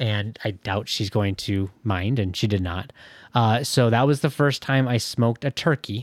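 A man with a Midwestern American accent speaks at a moderate pace and medium pitch, with ordinary pitch variation. The sound is dry and close with no echo, and the recording is very clean with a silent background. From Michigan. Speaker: IT professional. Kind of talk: casual interview. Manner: hesitant, many fillers.

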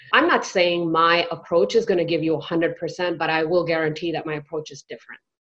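In an American accent, a woman uses a normal speaking voice with a fairly low pitch and ordinary pitch variation. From United States, Indian heritage. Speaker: physician and residency coach. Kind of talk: interview.

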